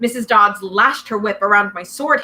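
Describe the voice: The pitch barely rises or falls. It is plain reading aloud.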